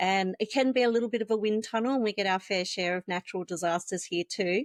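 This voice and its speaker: Dry and close with no echo, a woman with an Australian accent speaks at a very fast pace, her medium pitch showing ordinary variation. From Australia, Wollongong. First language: Vietnamese. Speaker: NDIS compliance consultant, business founder. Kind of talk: casual interview chat.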